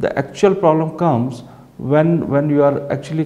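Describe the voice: A man speaks with a dark, mellow tone, and audible room echo surrounds him.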